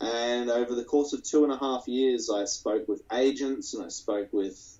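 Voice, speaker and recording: With an Australian accent, a man talks at a moderate pace and medium pitch with fairly even intonation. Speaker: anime creator. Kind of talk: interview. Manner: halting.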